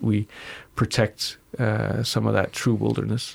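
Recorded very cleanly against a silent background, a man speaks at a moderate pace with vocal fry and a fairly low pitch. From Denmark. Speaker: astronaut. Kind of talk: interview.

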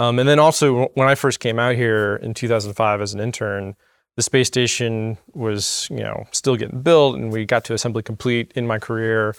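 In an ordinary speaking voice, a man with an American accent talks at a moderate pace and medium pitch, his intonation fairly even and the sound dry and close with no echo. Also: very clean recording, silent background. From Florida. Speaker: flight director. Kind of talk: casual chat. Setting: studio.

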